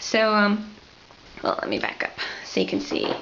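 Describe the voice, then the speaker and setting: Medium-pitched female voice against noticeable background noise. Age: 20s. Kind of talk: casual video tour. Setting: home art studio. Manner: animated.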